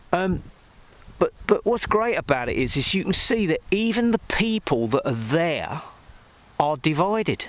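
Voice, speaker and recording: A man with an English accent, high pitch and fairly slow pace, amid noticeable background noise. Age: 60s. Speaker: music producer and vlogger. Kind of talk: casual vlog monologue. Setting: outdoors. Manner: rambling, hesitant with fillers.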